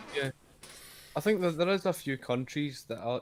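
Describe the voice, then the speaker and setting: A man speaks in a Scottish accent. His pace is moderate and his intonation is lively. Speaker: YouTuber, guest. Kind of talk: casual debate. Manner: halting, repetitive.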